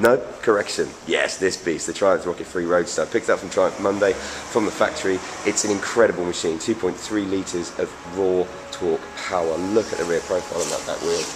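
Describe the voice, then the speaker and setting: There is noticeable background noise while a man with an English accent talks at a fairly quick pace. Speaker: motorcycle reviewer. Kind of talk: video review. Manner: fast.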